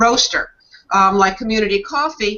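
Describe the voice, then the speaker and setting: This woman has an unremarkable speaking voice, fairly high in pitch, delivered at a moderate pace. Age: 60s. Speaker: talk show host. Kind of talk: casual chat.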